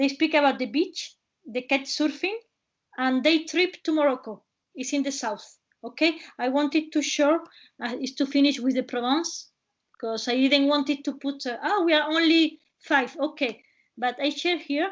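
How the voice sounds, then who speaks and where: A woman at a high pitch, moderate in pace, with ordinary pitch variation. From Spain, Cádiz province (Tarifa, Algeciras). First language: Spanish. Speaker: travel presenter. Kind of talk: webinar presentation. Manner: halting.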